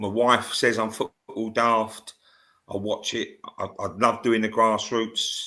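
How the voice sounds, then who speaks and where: A man with a London accent talks at a fairly low pitch in a bright, sharp tone and a monotone, flat intonation. The recording is very clean, with a silent background. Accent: southern English, London area. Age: 60s. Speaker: football scout and grassroots coach. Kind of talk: podcast interview. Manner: halting, many fillers.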